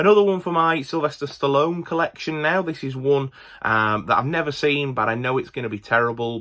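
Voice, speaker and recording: Bright and sharp in tone, a man with a Yorkshire accent talks at a fairly quick pace. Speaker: movie collector YouTuber. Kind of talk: casual video haul commentary. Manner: casual, with many fillers and restarts.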